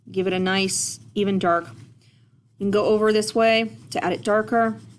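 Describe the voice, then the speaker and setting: This woman talks at a moderate pace in a medium pitch. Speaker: art teacher. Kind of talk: tutorial. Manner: casual.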